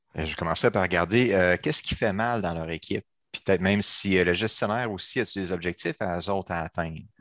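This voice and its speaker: Over a quiet background, a man with a very deep, low pitch speaks at a fairly quick pace with ordinary pitch variation, the sound dry and close with no echo. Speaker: agile coach and trainer. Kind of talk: casual chat. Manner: animated.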